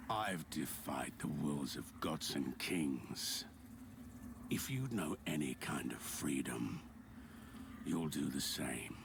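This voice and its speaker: Over loud background noise, a man performs a put-on character voice at a very slow pace, with long, frequent pauses. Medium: video game. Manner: terse, grave.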